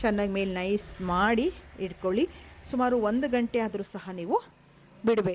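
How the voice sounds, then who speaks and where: The speech has ordinary pitch variation over noticeable background noise. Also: woman, medium pitch for a woman. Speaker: cooking vlogger. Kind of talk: cooking tutorial. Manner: stumbling speech today.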